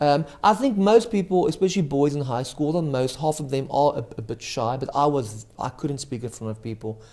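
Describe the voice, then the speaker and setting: Speaking with hardly any pauses, a man with a South African accent has a dark, mellow tone, a fairly high pitch and lively intonation. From South Africa, Cape Town area. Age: young. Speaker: magician. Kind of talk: casual interview.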